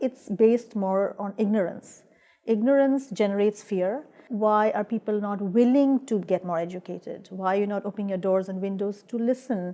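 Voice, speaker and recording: With a dark, mellow tone, a woman talks at a fairly quick pace and fairly even intonation. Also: medium pitch for a woman. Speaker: immigrant woman artist participant. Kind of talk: personal testimony interview.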